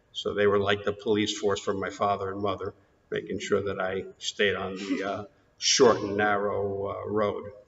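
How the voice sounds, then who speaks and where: A man with a New York accent at a moderate pace. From New York, Queens. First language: Greek. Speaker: interviewee in oral history. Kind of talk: oral history interview.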